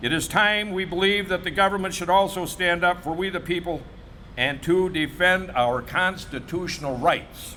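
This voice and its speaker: A high-pitched man with an American accent, ordinary pitch variation and a moderate pace, in audible room echo. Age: 70s. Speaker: barber. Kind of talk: press conference statement. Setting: press conference.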